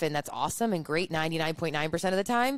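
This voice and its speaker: A woman speaks with a Chicago accent in a very deep, low voice. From US Midwest, Chicago. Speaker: entrepreneur and influencer. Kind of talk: interview chat.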